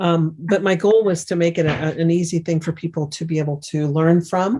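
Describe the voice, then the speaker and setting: Woman with a plain, everyday voice, fairly low in pitch, fairly even in intonation, at a moderate pace. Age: 60s. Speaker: remote viewing teacher and author. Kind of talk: interview.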